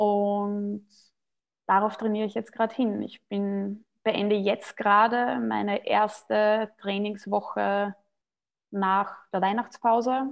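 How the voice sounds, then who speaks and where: A woman at a medium pitch, very slow pace and monotone, flat intonation. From Austria. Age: 30s. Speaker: CrossFit athlete. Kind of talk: podcast interview.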